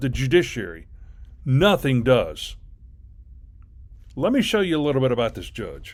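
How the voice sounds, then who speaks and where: Very wide pitch swings across a fairly high male voice. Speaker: commentary video host. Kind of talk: reaction commentary. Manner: halting; slow, deliberate.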